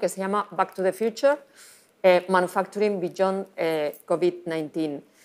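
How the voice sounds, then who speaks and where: A woman with a medium pitch speaks at a very slow pace with fairly even intonation. The recording is very clean, with a silent background. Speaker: industry strategy manager presenting a study. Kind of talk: conference presentation. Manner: hesitant, many fillers.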